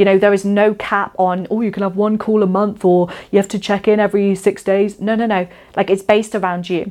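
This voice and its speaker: A woman talks at a fairly quick pace in a Shropshire accent. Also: medium pitch for a woman. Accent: English West Midlands (Shropshire). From Shropshire, England. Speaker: podcast host and women's coach. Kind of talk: solo podcast monologue. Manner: animated.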